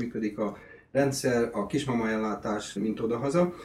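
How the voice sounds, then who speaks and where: This man's voice sits at a medium pitch, and his intonation stays fairly even. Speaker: video host. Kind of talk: casual interview.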